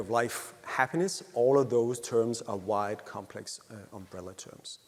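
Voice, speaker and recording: The speaker has a Danish accent. The pace is moderate, with ordinary pitch variation. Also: man. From Denmark. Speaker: happiness researcher. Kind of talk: conference talk. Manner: halting.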